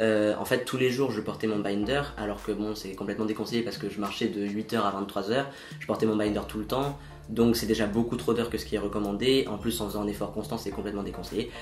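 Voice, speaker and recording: Amid noticeable background noise and audible room echo, a man talks at a very fast pace with a fairly low pitch. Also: ordinary pitch variation. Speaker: transgender vlogger. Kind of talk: personal video diary. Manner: casual, conversational.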